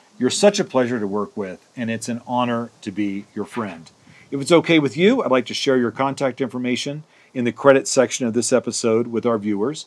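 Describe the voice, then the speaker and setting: A man uses an ordinary speaking voice, keeping medium pitch and ordinary pitch variation at a fairly quick pace. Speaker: arts festival co-founder and show co-host. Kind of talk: casual chat.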